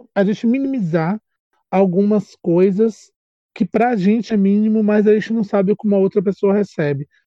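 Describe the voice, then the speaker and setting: This man's voice is high-pitched, with a dark, mellow tone and fairly even intonation at a moderate pace. The loudness is very even and the sound is dry and close, with no echo. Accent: Bahian. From Brazil, Salvador, Bahia. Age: 30s. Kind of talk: casual chat.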